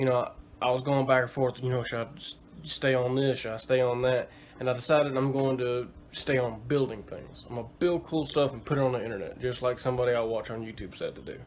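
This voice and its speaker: A man talks at a very fast pace with fairly even intonation, and noticeable background noise sits behind him. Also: medium pitch for a man. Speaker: DIY builder YouTuber. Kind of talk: vlog-style casual talk to camera. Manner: halting, many fillers.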